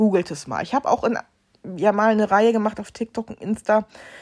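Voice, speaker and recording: An unremarkable speaking voice, this woman talks at a moderate pace in a dry, close recording with no echo. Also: very clean recording, silent background. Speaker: podcast host. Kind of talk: casual monologue.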